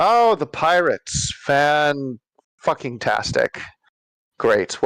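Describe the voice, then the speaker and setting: A very slow, put-on character voice from a man, fairly high in pitch. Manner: exasperated.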